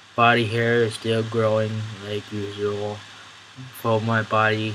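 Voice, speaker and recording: A man speaks slowly-ish in a monotone, flat delivery at a fairly low pitch. Audible room echo and noticeable background noise surround him. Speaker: vlogger. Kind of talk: video diary update. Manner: halting, many fillers.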